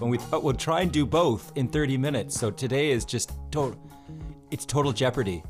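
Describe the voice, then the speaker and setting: A man speaks very fast with lively intonation while music plays in the background. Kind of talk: casual podcast conversation.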